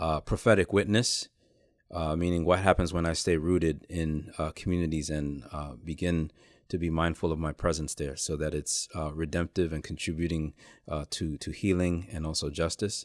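In a New York accent, a man speaks at a moderate pace with a very deep, low pitch and fairly even intonation, in a dry, close sound with no echo and a very clean recording against a silent background. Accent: New York City. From New York City, Lower East Side of Manhattan. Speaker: author and pastor. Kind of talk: interview.

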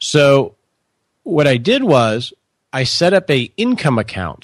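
A man with an American accent and an unremarkable speaking voice, fairly high in pitch and fairly slow in pace, on a very clean recording with a silent background and a dry, close sound with no echo. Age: 40s. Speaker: financial advisor. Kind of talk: interview.

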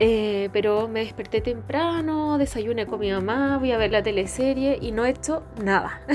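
Over music in the background, a woman with a Chilean accent speaks fairly slowly with hardly any pauses, in a relaxed tone at a fairly high pitch with ordinary pitch variation. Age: 30s. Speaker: podcast host and image consultant. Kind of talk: casual monologue. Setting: bedroom at home.

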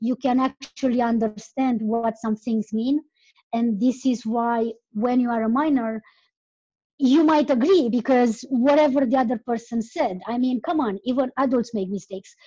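In a Romanian accent, a woman speaks at a moderate pace with a high pitch. Her tone is dark and mellow, with fairly even intonation. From Romania (Transylvania). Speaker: podcaster, travel guest. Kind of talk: casual chat. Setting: online call.

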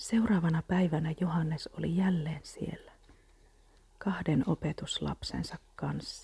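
Very slow and soft-spoken, the voice has a gentle, soothing tone. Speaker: Bible reader. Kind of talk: Bible reading aloud as calming ASMR, close to guided meditation. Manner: soft, gentle and slow, calming and unhurried; even, soothing, steady pacing with reverent tone.

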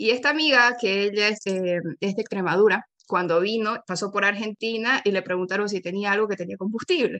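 A woman talks at a fairly quick pace with a bright, sharp tone. Her medium-pitched voice shows ordinary pitch variation. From Bolivia, Santa Cruz de la Sierra. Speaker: Spanish teacher and linguist. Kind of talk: interview. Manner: halting, many fillers and repetitions.

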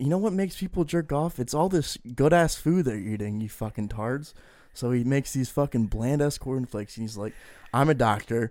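Recorded very cleanly with a silent background, a man in a normal speaking voice talks at a fairly quick pace and medium pitch with lively intonation. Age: 20s. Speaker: podcast co-host. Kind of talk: casual chat.

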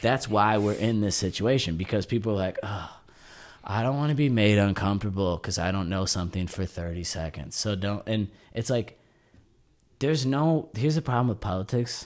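Here a man talks at a fairly quick pace in a fairly low voice, with lively intonation and an unremarkable speaking voice. The recording is very clean, with a silent background. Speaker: podcast co-host. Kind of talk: casual banter. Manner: joking, laid-back.

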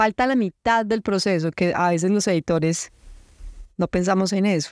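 Recorded very cleanly with a silent background and a dry, close sound with no echo, a woman at a medium pitch speaks at a moderate pace with long, frequent pauses, very even loudness and ordinary pitch variation. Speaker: poet and book publisher. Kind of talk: interview conversation.

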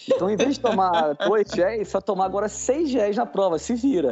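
Over noticeable background noise, the speaker goes at a moderate pace with very wide pitch swings. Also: man. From Rio de Janeiro, Brazil. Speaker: amateur marathon runner. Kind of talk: casual chat.

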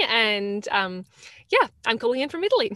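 With lively intonation, a woman speaks in a fairly high pitch, her tone bright and sharp and the sound dry and close with no echo. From Australia. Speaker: podcast guest. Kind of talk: casual interview chat. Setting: remote call.

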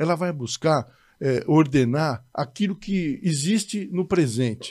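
This is a man with an ordinary speaking voice, pitched fairly high. The recording is very clean, with a silent background. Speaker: judge. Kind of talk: casual chat.

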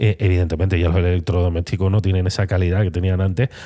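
A man's dark, mellow tone comes through on a very clean recording against a silent background. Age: 40s. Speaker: photographer and podcast host. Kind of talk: solo podcast monologue. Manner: halting, many fillers and repetitions.

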